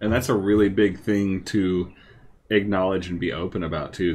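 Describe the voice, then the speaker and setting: Here is a man with a very deep, low voice. He keeps a moderate pace. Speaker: podcast host and streamer; podcast host, streamer. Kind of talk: casual chat. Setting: live stream. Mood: reflective, open. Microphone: video call.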